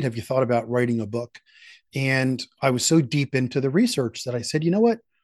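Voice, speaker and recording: In an American accent, an ordinary speaking voice moves at a fairly quick pace, with a dry, close sound, no echo and a quiet background. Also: man. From Philadelphia. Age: 60s. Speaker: sales institute founder and author. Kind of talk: podcast interview.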